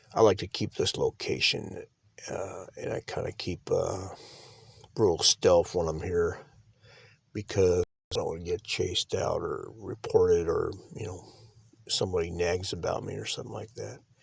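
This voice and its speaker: In a put-on character voice, a man talks quietly and raspily at a moderate pace, with long, frequent pauses, in a dry, close recording with no echo. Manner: quiet, hushed; keeping voice down, stealthy.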